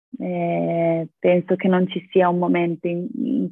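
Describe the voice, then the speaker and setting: Fairly low pitch from a woman, with music in the background. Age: 20s. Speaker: yoga practitioner and rock climber. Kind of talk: interview conversation.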